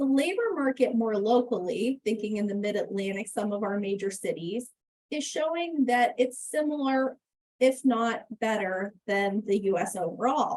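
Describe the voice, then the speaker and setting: Using a normal speaking voice, a woman talks at a fairly slow pace with a fairly high pitch and lively intonation. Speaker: economist. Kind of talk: webinar presentation.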